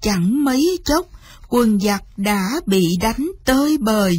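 At a slow pace, a woman uses lively intonation in a fairly high voice, slightly mellow in tone with a slightly husky edge.

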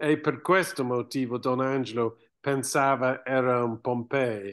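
Against a quiet background, a man with an English accent speaks at a very slow pace. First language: English (speaking Italian). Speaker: archaeologist and author. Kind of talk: book presentation interview. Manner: halting, with hesitations. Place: home room. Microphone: webcam.

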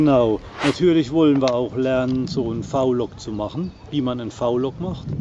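A man talks at a moderate pace with medium pitch and ordinary pitch variation. The sound is dry with no echo, and background noise is noticeable. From southern Palatinate, southwest Germany; Germany. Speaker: vlogger, sailboat owner; vlogger. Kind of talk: casual vlog talk to camera. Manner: hesitant, many fillers. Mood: relaxed, friendly. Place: open country. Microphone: phone near.

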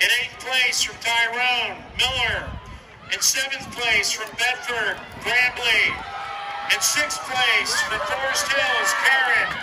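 Amid noticeable background noise, a man speaks in a raised, projected voice at an extremely high pitch and a very slow pace. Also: ordinary pitch variation. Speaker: stadium announcer. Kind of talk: live track meet announcing, reading out results by place. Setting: PA system at outdoor stadium. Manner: brisk, formal, steady sing-song countdown to a winner, with stress on the winner's line. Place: stadium.

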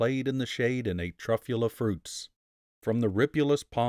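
Over a quiet background, the text is read aloud in a natural voice whose pitch varies in an ordinary way.

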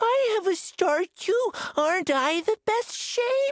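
In a put-on character voice, the speaker goes at a slow pace with lively intonation. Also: woman, extremely high pitch for a woman.

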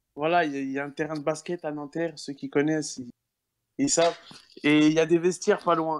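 This is a plain, everyday voice with fairly even intonation. The pace is fairly quick. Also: man. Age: 20s. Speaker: university student. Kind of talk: casual chat. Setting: online voice chat.

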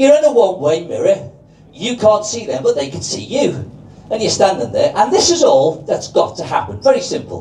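With audible room echo and noticeable background noise around him, a man keeps a moderate pace. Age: 60s. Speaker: amateur comedian. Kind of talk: stand-up. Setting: stage with audience.

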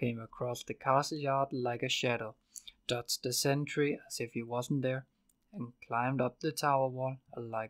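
Fairly even intonation over plain reading aloud

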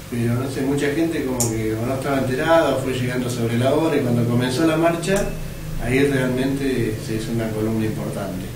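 A man talks at a medium pitch and a fairly quick pace, with ordinary pitch variation. Clear background noise and audible room echo are present.

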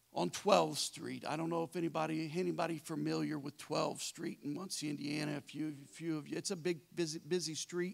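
The man keeps a moderate pace, and the background is quiet. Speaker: pastor. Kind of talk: sermon. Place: church. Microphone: handheld.

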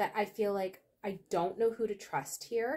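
A woman's slightly mellow tone at a moderate pace.

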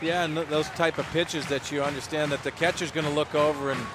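Over noticeable background noise, a man talks at a fairly quick pace in a flat monotone, the sound dry with no echo. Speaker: radio game analyst. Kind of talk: baseball radio analysis. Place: stadium.

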